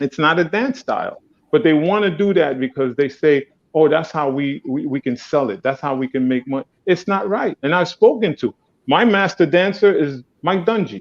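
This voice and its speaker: Lively intonation and a moderate pace mark this voice, delivered in a New York accent. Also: man, fairly high pitch for a man. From Haiti, raised in New York City from age 7. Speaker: dancer. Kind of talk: casual panel discussion. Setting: live streamed online panel. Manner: animated.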